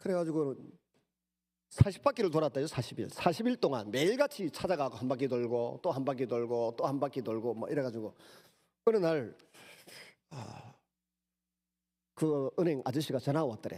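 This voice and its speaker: A man with a Gyeongsang accent speaks at a fairly high pitch in a dark, mellow tone, with lively intonation at a moderate pace. He leaves long, frequent pauses, and the recording is very clean with a silent background. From Gyeongsang region, South Korea. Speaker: pastor. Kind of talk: sermon. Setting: church.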